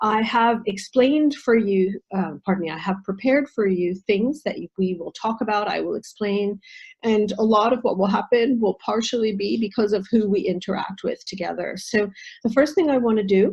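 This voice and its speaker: A woman with an American accent talks at a moderate pace, her pitch fairly high. Her voice is somewhat breathy, with ordinary pitch variation. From United States. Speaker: nutritional therapist and intercultural trainer. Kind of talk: online presentation. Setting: video call.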